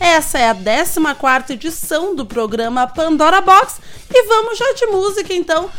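Over noticeable background noise, a woman with an extremely high pitch talks at a fairly slow pace, her pitch swinging very widely. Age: 30s. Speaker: radio host. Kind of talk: live radio show.

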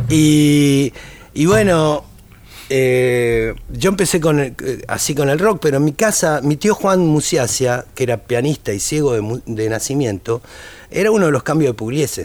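With a Rioplatense accent, a man speaks at a fairly slow pace, his fairly high pitch carrying lively intonation. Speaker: tango musician. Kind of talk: casual interview chat.

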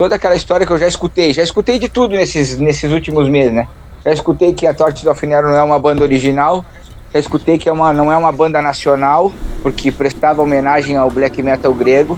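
A man talks very fast at a fairly high pitch with ordinary pitch variation. His loudness stays very even. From southern Brazil. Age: 40s. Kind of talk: interview.

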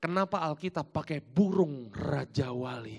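This man has an ordinary speaking voice, fairly high in pitch, with lively intonation. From Jakarta and Malang, East Java, Indonesia. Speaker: pastor. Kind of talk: sermon. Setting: church.

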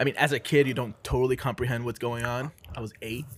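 The pace is very fast. The voice is somewhat breathy. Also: man. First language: not English. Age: 30s. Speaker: film podcast co-host. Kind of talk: casual chat.

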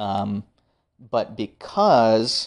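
A man's voice against a quiet background. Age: 30s. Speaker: Navy veteran, former medic. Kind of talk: casual interview. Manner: hesitant, many filler words.

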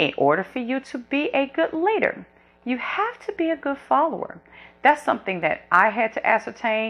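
A woman's high, animated voice at a moderate pace, with very wide pitch swings. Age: 40s. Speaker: podcast host. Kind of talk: solo monologue podcast. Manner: candid, animated.

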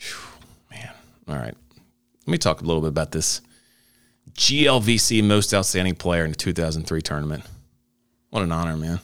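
A man with a very deep, low pitch, at a fairly quick pace broken by long, frequent pauses. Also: ordinary pitch variation. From Northern Kentucky. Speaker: podcast host. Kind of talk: casual interview.

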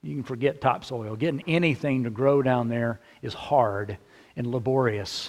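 With a Texan accent, a man speaks at a moderate pace. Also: medium pitch for a man, ordinary pitch variation. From central Texas. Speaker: pastor. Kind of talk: sermon.

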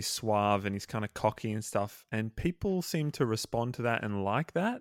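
The recording is very clean, with a silent background and a dry, close sound that has no echo. A man speaks in an ordinary speaking voice at a medium pitch and moderate pace, with lively intonation. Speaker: podcast co-host. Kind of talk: casual chat.

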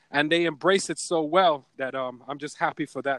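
On a very clean, dry recording with a silent background and no echo, a man with a Caribbean accent speaks at a moderate pace in a fairly high voice with fairly even intonation. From Caribbean community. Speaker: ad agency owner and voice-over artist. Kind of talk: interview.

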